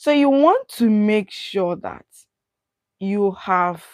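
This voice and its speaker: Recorded very cleanly against a silent background, a woman talks at a very slow pace in a dry, close sound with no echo. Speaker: study abroad consultant. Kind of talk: livestream masterclass. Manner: deliberately not loud.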